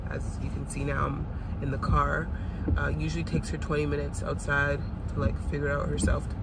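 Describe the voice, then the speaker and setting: A woman speaks very fast against loud background noise, her voice dry with no echo. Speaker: vlogger. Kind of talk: casual vlog chat. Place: car. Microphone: phone near.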